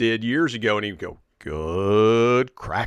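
An American-accented man speaks in an animated tone. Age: 40s. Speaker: podcast host, guest. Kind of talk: casual chat.

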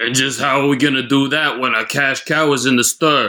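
In a put-on character voice, a man speaks at a fairly quick pace and a medium pitch. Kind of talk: 1930s radio gangster comedy. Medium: audio drama. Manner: sarcastic, grumbling.

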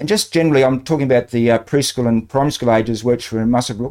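On a very clean recording with a silent background, a man with an Australian accent speaks at a very fast pace. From Australia, New South Wales. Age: 60s. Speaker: retired banker. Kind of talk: interview, life story.

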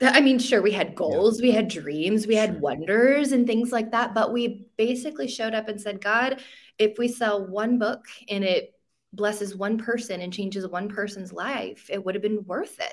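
A plain, everyday voice moves at a moderate pace, its pitch varying in an ordinary way. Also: woman, fairly high pitch for a woman. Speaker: author and ministry leader. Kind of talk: casual chat and testimony.

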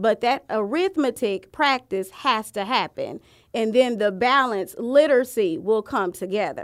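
At a fairly slow pace, a woman with a normal speaking voice and fairly high pitch uses lively intonation on a very clean recording with a silent background. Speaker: curriculum director. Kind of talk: casual podcast interview. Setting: studio.

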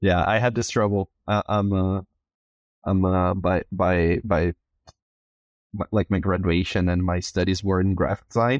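In a Brazilian accent, a man with a very deep, low pitch speaks at a fairly slow pace in a monotone, flat intonation, his loudness very even and his pauses long and frequent, the sound dry and close with no echo against a quiet background. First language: Portuguese. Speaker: podcast host. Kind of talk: casual interview conversation. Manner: halting, many fillers and repetitions.

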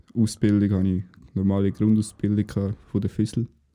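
The speaker is a man with a Swiss accent. His tone is dark and mellow. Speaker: podcast co-host, military recruit. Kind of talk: casual chat.

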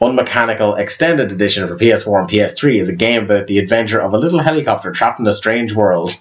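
A man with a fairly low voice talks at a very fast clip, hardly pausing at all, over noticeable background noise. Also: ordinary pitch variation. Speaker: podcast host. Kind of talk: casual chat. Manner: animated.

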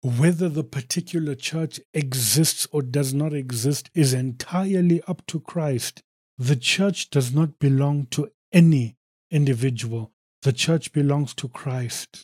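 A man talks at a fairly slow pace with a fairly high pitch. His voice is somewhat breathy, and his pitch varies in an ordinary way. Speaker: preacher. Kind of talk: sermon. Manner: fervent, exhorting, pleading with listeners; emphatic, punchy, declaiming in short rhythmic phrases.

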